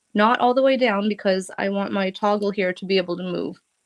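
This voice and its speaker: At a moderate pace, a woman with an American accent speaks at a medium pitch with fairly even intonation, her sound dry and close with no echo. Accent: Boston accent, stronger than usual now. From Boston area, US. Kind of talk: live craft tutorial chat. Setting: live stream.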